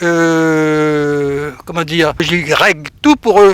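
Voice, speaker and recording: This man has a high pitch with ordinary pitch variation. The sound is dry and close, with no echo. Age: 70s. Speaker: retired photojournalist. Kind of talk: radio interview. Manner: casual, hesitant with fillers.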